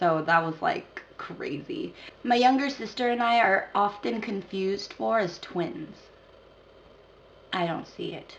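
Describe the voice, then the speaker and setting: Very wide pitch swings mark this fairly slow speech in an American accent, broken by long, frequent pauses. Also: woman, medium pitch for a woman. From Philippines, raised in the United States from age two. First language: not English. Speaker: dance instructor and choreographer. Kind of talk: casual talk to camera. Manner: casual, chatty.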